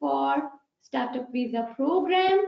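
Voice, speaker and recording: A woman speaks with a Pakistani accent. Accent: Pakistani English, non-native. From Pakistan, Peshawar. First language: Pashto. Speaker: accountant. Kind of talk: webinar presentation. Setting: online webinar.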